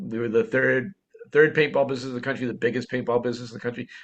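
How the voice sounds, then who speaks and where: A man speaks with a Boston accent at a medium pitch. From Boston, US. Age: 60s. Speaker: entrepreneur. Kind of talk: interview storytelling.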